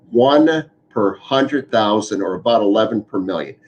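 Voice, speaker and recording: This man has an unremarkable speaking voice, medium pitch, lively intonation and a moderate pace. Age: 60s. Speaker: physician. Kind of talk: town hall Q&A explanation.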